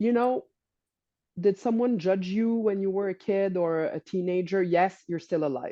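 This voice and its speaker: A woman speaks with a French accent at a medium pitch. Her pace is moderate, with ordinary pitch variation. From Quebec. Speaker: holistic coach and healer. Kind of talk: podcast interview. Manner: halting, many restarts.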